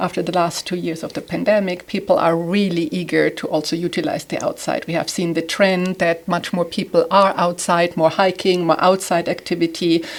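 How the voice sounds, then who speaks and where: A woman with a German accent speaks at a moderate pace in a fairly low pitch. Her intonation is monotone and flat, with noticeable background noise behind her. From southern Germany. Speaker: home staging expert. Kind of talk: interview.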